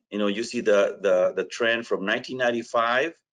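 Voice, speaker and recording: A man with a strong non-native accent at a moderate pace, against a quiet background. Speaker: education technology representative. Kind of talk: webinar presentation. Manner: hesitant, many fillers.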